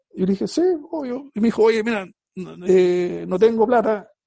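This man's voice has a dark, mellow tone. He speaks at a moderate pace with lively intonation. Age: 40s. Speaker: marketing agency founder and MBA professor. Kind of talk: interview. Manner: halting, many repetitions.

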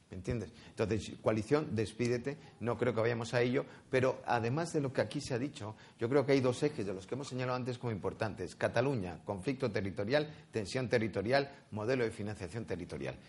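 Somewhat breathy, a man's medium-pitched voice moves along at a fairly quick pace. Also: ordinary pitch variation. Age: 60s. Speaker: politician. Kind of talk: political debate.

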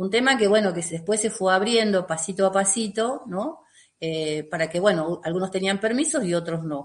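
The speaker has an Argentine accent. The pace is moderate. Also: woman. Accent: Argentine Spanish (Rioplatense). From Argentina. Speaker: emotional release therapist. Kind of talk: interview.

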